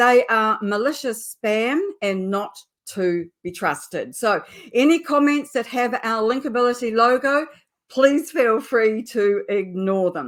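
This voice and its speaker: A woman with a New Zealand accent speaks at a fairly slow pace. Her fairly high voice has lively intonation. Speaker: LinkedIn specialist and show host. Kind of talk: live webinar introduction.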